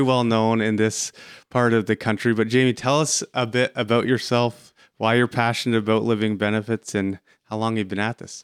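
At a moderate pace, a normal speaking voice comes through in a very clean recording with a silent background. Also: man. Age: 30s. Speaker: podcast host and financial advisor. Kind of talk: interview.

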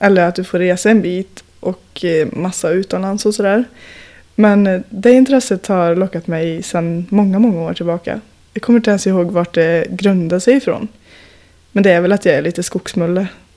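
A woman speaks at a moderate pace in a medium pitch. Her tone is dark and mellow, with ordinary pitch variation. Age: 20s. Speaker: industrial worker and climber. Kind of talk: casual chat.

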